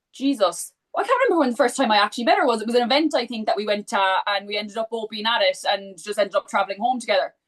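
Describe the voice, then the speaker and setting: Rattling along at a very fast pace with hardly any pauses, a woman speaks in a Cork accent with a fairly high pitch and lively intonation. The sound is dry and close, with no echo. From Ireland, Cork. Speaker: book content creator. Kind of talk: casual chat.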